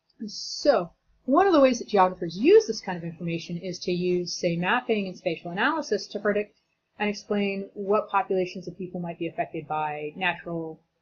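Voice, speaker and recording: Against a quiet background, a woman speaks at a fairly quick pace. Her voice sits at medium pitch and is somewhat breathy. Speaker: teacher. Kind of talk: lecture. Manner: fast; casual, conversational.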